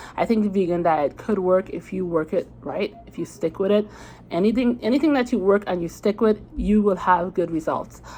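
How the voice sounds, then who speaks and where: A woman in a Caribbean accent at medium pitch, ordinary pitch variation and moderate pace. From Trinidad. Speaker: diet vlogger. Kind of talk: casual vlog talk to camera. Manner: conversational, many fillers and restarts.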